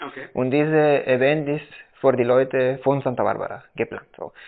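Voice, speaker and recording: A man with a Spanish accent, medium pitch and a moderate pace. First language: Spanish (speaking German). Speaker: coffee producer and roaster. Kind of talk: casual interview. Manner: halting, many fillers.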